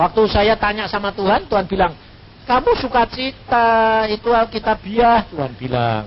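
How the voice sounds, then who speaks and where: There is noticeable background noise. Over it, a man talks at a fairly slow pace. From Central Java, Indonesia. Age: 60s. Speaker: evangelist preacher. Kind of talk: sermon. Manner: casual, humorous.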